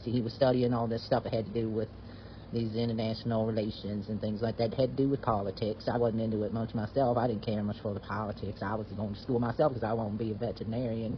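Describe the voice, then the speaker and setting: A man with a Southern US accent rushes along at a very fast pace, his medium-pitched, somewhat breathy voice flat and monotone. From US South. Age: 70s. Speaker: retired veterinarian sharing a personal story. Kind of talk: personal storytelling. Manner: halting, with frequent fillers and restarts.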